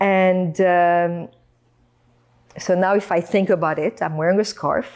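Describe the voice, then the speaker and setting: With very even loudness and fairly even intonation, a woman speaks at a fairly slow pace in a medium pitch, pausing long and often. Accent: French. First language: French. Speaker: podcast guest. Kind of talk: casual interview chat.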